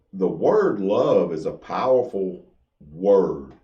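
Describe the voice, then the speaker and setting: Audible room echo carries a man's fairly low-pitched voice with a dark, mellow tone. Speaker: Masonic podcast co-host. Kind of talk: casual chat. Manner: loud.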